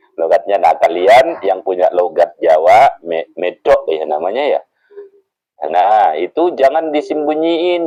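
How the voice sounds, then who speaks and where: At a fairly slow speed, a man talks in a dry, close sound with no echo. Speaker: social media selling trainer. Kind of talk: workshop presentation. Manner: casual, conversational.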